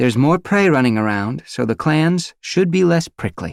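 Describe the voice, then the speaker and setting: In a put-on character voice, a man talks at a moderate pace with a fairly high pitch, on a very clean recording with a silent background. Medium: read story. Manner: brisk, commanding.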